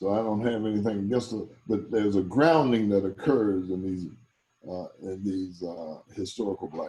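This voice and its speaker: A man with a plain, everyday voice speaks at a moderate pace, his pitch fairly low with ordinary variation. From US South, South Carolina. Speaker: pastor and evangelist. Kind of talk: Q&A after a talk.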